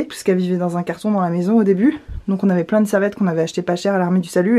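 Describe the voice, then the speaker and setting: A woman with a dark, mellow tone at a very fast pace, recorded very cleanly over a silent background. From Réunion. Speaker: vlogger. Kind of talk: casual talk to camera.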